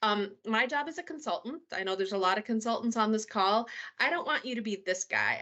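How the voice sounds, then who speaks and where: Someone speaks at a moderate pace in a Minnesotan accent. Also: woman. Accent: Minnesota. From US Midwest, Minnesota. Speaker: solution architect presenter. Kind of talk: webinar presentation.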